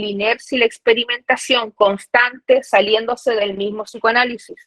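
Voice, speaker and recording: A woman with a fairly high pitch speaks with fairly even intonation in an unremarkable speaking voice. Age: 20s. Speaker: psychoanalysis researcher and author. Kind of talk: academic lecture read from a paper. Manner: formal.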